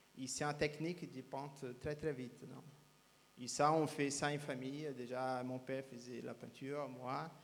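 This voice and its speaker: Speaking in a Brazilian accent at a fairly slow pace, a man keeps a monotone, flat intonation while his loudness swings widely. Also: medium pitch for a man. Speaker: speed painter. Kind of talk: interview. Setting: live show at cabaret. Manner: halting.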